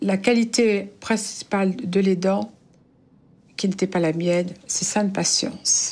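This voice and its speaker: A woman of medium pitch with fairly even intonation at a very slow pace. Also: very even loudness. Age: 70s. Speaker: caregiver of spouse with Alzheimer's. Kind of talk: testimony.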